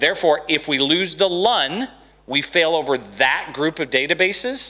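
A man's fairly high voice with a bright, sharp tone and an American accent, against a quiet background. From Dallas, Texas. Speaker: conference speaker, SharePoint expert. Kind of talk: technical conference lecture with demo. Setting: conference room with audience. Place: stage. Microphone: handheld.

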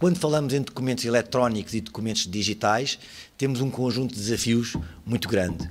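Against light background noise, a man talks at a fairly quick pace with very even loudness and ordinary pitch variation. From Portugal. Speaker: lawyer and lecturer on digital law; lawyer, lecturer on digital law. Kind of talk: conference talk. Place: hall.

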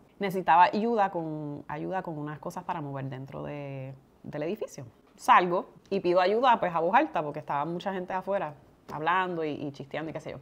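In a Puerto Rican accent, the voice moves at a fairly quick pace with ordinary pitch variation and big swings in loudness. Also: woman, fairly low pitch for a woman. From Puerto Rico. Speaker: community leader and podcast co-host; podcast co-host. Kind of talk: casual interview chat. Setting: podcast recording. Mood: relaxed, storytelling. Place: home room.

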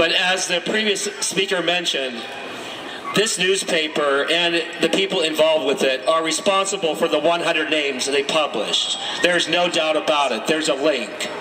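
Noticeable background noise sits behind a man talking at a moderate pace, with very even loudness and ordinary pitch variation. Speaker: community organizer. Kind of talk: rally speech. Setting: outdoor rally. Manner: earnest, rousing, measured activist delivery. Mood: earnest, indignant. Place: street. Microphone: handheld.

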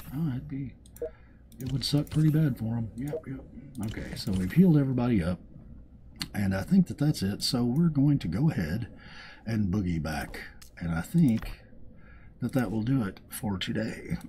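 With a Southern US accent, a man of medium pitch speaks at a moderate pace, making very wide pitch swings and taking long, frequent pauses. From US South, Arkansas. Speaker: gaming YouTuber. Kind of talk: casual gameplay commentary.

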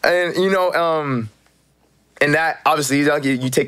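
A man speaks in an animated tone, his voice fairly high. His pitch varies in an ordinary way against a quiet background. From Canada, Toronto. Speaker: actor. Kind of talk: casual chat. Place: studio. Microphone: studio mic.

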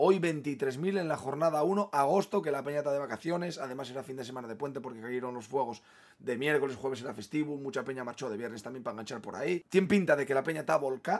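Barely pausing, a man speaks at a very fast pace in an animated tone against a quiet background. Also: fairly high pitch for a man, ordinary pitch variation. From Asturias, Spain. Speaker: football fan youtuber. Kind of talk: match opinion monologue. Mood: frustrated, opinionated. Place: home room.

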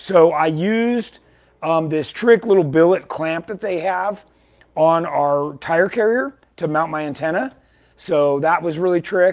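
Against a quiet background, a man with a high pitch speaks at a fairly slow pace with ordinary pitch variation. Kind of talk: casual product update talk. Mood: enthusiastic. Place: shop.

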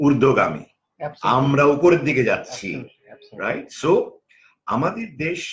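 A man's somewhat breathy voice, fairly high in pitch, with lively intonation. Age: 50s. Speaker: corporate trainer. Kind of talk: interview conversation.

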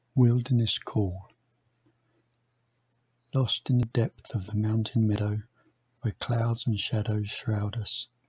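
A somewhat breathy voice speaks very slowly with fairly even intonation and long, frequent pauses. The sound is dry and close with no echo, over a quiet background. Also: man, medium pitch for a man. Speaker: poet. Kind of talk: poetry reading.

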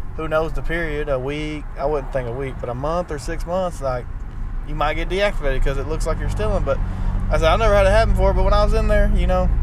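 A man talks at a very fast pace in a dry sound with no echo. Noticeable background noise runs behind him. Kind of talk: casual vlog chat. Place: car. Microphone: camera far.

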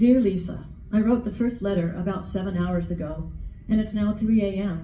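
In a space with audible room echo, a woman at a medium pitch talks at a moderate pace with fairly even intonation. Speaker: writing group member, poet; poet. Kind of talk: spoken word, tender love poems and letters to late husband. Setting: library reading with audience. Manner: gentle and intimate, tender reading; emotional, pausing with nervous laughs. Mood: tender, heartfelt. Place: hall. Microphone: camera far.

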